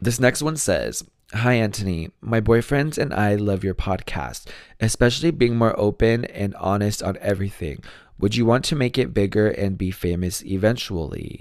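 Recorded very cleanly against a silent background, a raspy man speaks at a moderate pace with a fairly low pitch and ordinary pitch variation. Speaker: true crime podcast host. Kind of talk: casual listener Q&A chat. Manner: laughs often, self-deprecating.

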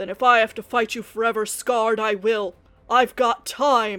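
A man's put-on character voice, high-pitched, raised and projected, at a moderate pace with faint music in the background. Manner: growling, defiant.

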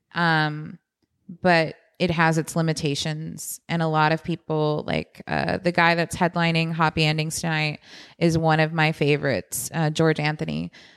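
In a very clean recording with a silent background, a woman with an American accent speaks at a moderate pace in a very deep, low pitch, her intonation monotone and flat. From Texas, San Antonio. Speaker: comedian. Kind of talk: casual chat.

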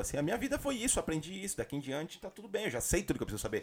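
Over music in the background, a man's voice moves in very wide pitch swings. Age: 30s. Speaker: podcast co-host. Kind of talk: casual chat.

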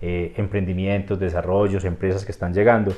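A man speaks with an Antioquian accent. His pace is fairly quick. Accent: Colombian paisa (Antioquia). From Colombia, Antioquia (Rionegro). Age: 40s. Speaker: business consultant. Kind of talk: interview. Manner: hesitant, many fillers.

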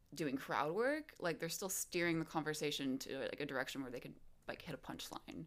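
Talking at a fairly quick pace, a woman uses an unremarkable speaking voice with a fairly low pitch and ordinary pitch variation. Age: 20s. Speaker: stand-up comedian. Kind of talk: casual chat.

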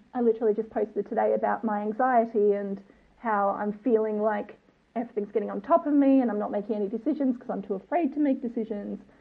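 A woman with an Australian accent talks at a very fast pace. Her fairly high voice sounds excited. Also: ordinary pitch variation. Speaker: listener and bride-to-be. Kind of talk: voice message.

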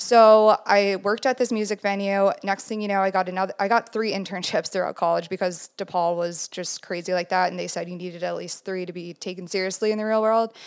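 In an unremarkable speaking voice, the speaker goes at a fairly quick pace with hardly any pauses and fairly even intonation. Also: woman, medium pitch for a woman. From Minnesota, US Midwest. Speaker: photographer. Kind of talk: casual interview.

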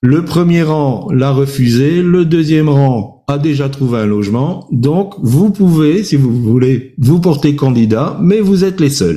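A man's dark, mellow voice, fairly high in pitch, with lively intonation, a very slow pace, hardly any pauses and very even loudness. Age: old. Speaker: preacher. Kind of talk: sermon with personal testimony. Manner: hesitant, many fillers.

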